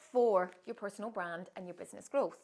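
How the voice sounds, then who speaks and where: A woman speaks in a Scottish accent. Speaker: author and personal branding coach. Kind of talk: promotional monologue to camera.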